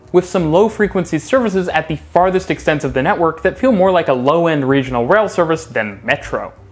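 Faint music plays in the background as a man talks at a fairly quick pace with hardly any pauses. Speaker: transit video creator. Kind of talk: explainer commentary. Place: home room. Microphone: lapel.

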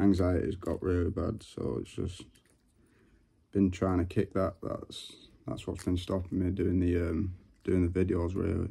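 Against a quiet background, a man with a very deep, low pitch and a dark, mellow tone speaks at a fairly slow pace, somewhat breathy and monotone, with long, frequent pauses. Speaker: vlogger. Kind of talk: casual talk to camera. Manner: stuttering. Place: home room. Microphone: phone near.

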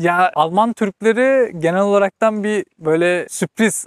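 Against a quiet background, a man talks with ordinary pitch variation in a dry sound with no echo. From Turkey, Istanbul. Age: 20s. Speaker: vocational trainee who emigrated to Germany; interviewee. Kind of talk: casual interview chat. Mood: relaxed, reflective. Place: open country. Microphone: lapel.

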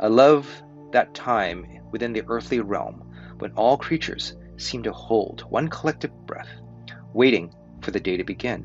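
A man talks at a moderate pace while music plays faintly behind him. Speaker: volunteer reader. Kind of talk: story reading aloud. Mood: warm, calm narration. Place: home room. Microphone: webcam.

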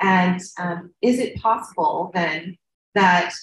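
The voice is somewhat breathy, and there is audible echo from the room. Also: woman. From United States. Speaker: field station director and researcher. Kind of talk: conference presentation. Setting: conference panel. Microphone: video call.

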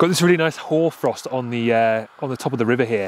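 Light background noise runs under this clip. A man speaks at a very fast pace with ordinary pitch variation. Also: dry sound with no echo. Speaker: travel photographer vlogger. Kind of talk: casual vlog chat. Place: open country. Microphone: phone near.

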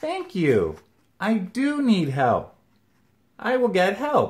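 At a very slow pace, a man delivers a put-on character voice in a high pitch. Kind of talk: children's story read-aloud. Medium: read story. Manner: bright, eager. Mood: eager.

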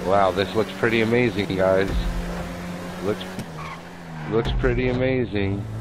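The man speaks at a fairly slow pace, his voice dry with no echo against noticeable background noise. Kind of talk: instructions to players over voice chat.

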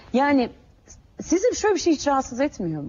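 The woman's pitch swings very widely as she talks. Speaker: TV presenter. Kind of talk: heated debate on TV. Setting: TV studio. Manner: pressing, persistent, sharp questioning. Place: studio.

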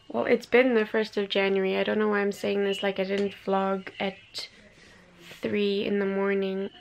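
Over light background noise, a woman speaks in a monotone, flat manner at a moderate pace. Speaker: vlogger. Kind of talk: casual vlog. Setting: bedroom at home. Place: home room. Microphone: phone near.

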